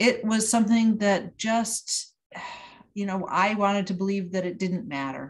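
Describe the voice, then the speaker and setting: The voice is somewhat breathy and carries an American accent. Its pitch variation is ordinary. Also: woman, medium pitch for a woman, fairly slow pace. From US Northeast, Utica, New York. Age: 60s. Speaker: novelist. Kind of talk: interview. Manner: halting, many fillers.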